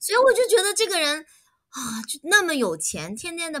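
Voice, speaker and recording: A woman's bright, sharp tone with very wide pitch swings at a fairly slow pace. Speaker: animal rescue volunteer and business owner. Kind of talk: casual interview. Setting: online call.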